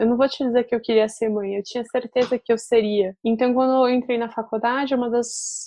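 Here a woman speaks at a fairly quick pace in a normal speaking voice. Her pitch is fairly high and her intonation fairly even. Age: 30s. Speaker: journalist and mother. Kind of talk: casual interview.

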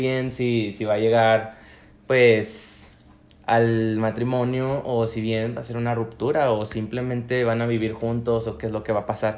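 This is a man with a plain, everyday voice, pitched at a medium level. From Mexico, La Laguna region (Coahuila). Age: 20s. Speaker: law student and mental health activist. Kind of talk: casual chat.

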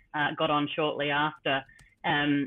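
With an Australian accent, a woman talks at a moderate pace in a very deep, low voice. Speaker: sports administrator and former professional cyclist. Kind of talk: interview.

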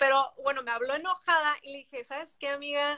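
In a dry, close recording with no echo, a woman projects a raised voice with a bright, sharp tone, high pitch and fairly quick pace. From Mexico (Tijuana, border region). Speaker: singer-songwriter. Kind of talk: interview.

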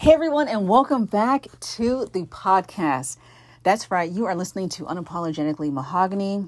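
On a very clean recording with a silent background, a woman with an American accent talks at a fairly quick pace in an animated, upbeat tone, her fairly low pitch swinging very widely. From US, New Jersey. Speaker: podcast host. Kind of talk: casual conversational podcast chat.

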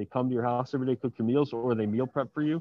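A man with an American accent and an ordinary speaking voice talks at a medium pitch, with ordinary pitch variation. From Miami, Florida. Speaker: dating and self-development entrepreneur. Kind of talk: casual interview. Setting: airport.

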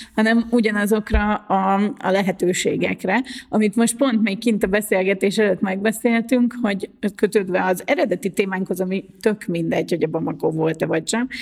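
A woman speaks in a normal speaking voice at medium pitch. Her pace is moderate, with ordinary pitch variation. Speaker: podcast host, journalist and wheelchair user. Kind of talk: casual chat.

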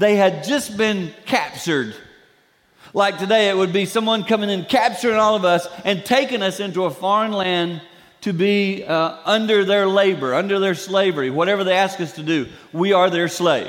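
The man's pitch is high and his pitch variation ordinary. He speaks at a moderate pace. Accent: Southern US. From Carolinas, US South. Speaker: guest preacher. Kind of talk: sermon. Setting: church.

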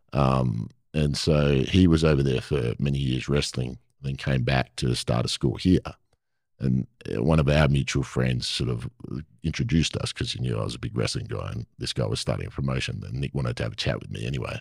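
A man with an Australian accent speaks at a fairly quick pace in a very deep, low pitch with vocal fry and ordinary pitch variation. The sound is dry and close, with no echo. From Perth, Western Australia. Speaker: actor and former pro wrestler. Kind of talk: casual interview chat.

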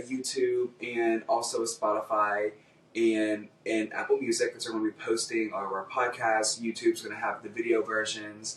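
A man at a moderate pace with hardly any pauses, against noticeable background noise. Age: 20s. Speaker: podcast co-host. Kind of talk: casual chat. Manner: animated.

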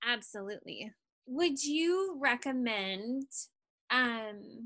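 The background is quiet behind a woman's voice. Her tone is bright and sharp, with lively intonation. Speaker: podcast host. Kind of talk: casual interview chat.

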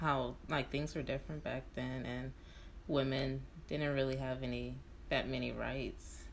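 A woman speaks at a fairly slow pace. There is audible room echo. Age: 20s. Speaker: podcast host. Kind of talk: casual chat.

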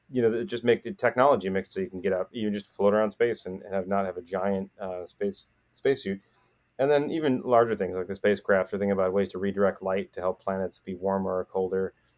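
A man talks at a very fast pace with a fairly low pitch and fairly even intonation. The sound is dry and close, with no echo. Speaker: professor and genomics researcher. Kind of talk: casual interview conversation. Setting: video call.

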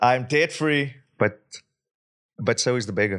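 A man with a South African accent talks in an animated tone against a quiet background. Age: 30s. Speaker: investor and speaker. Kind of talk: casual interview chat. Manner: animated, laughs often.

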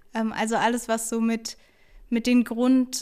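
A woman with a dark, mellow tone and fairly high pitch speaks fairly slowly in a flat monotone, recorded very cleanly against a silent background. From Hesse, Germany (Taunus). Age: 20s. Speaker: student teacher and local election candidate. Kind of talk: interview. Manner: hesitant, many fillers.

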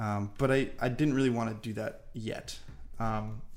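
This man has an American accent and a medium pitch, delivered in a monotone, flat way. Audible room echo surrounds his voice. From Long Island, New York. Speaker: travel content creator and digital marketer. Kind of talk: casual interview.

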